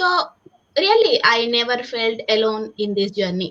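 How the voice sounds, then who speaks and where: A woman with a Telugu accent, fairly high-pitched, at a fairly slow pace. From India. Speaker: civil engineer and online business owner. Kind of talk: panel discussion, personal story.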